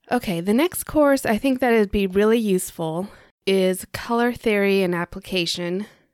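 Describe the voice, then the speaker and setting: A woman with a plain, everyday voice speaks at a medium pitch and a moderate pace, with ordinary pitch variation. The recording is very clean and dry, with a silent background and a close sound with no echo. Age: 40s. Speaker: podcast host and interior design mentor. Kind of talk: solo podcast monologue.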